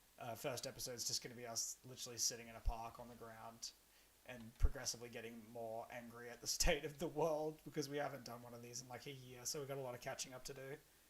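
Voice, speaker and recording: Very fast speech in an Australian accent with fairly even intonation. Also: man. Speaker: streamer and comedian. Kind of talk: casual gaming livestream chat. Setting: livestream while gaming.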